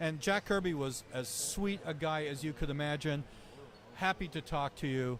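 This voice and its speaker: With a normal speaking voice, a man talks at a moderate pace, fairly high in pitch and with ordinary pitch variation. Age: 60s. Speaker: journalist and comic writer. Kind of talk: casual interview. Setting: comic convention.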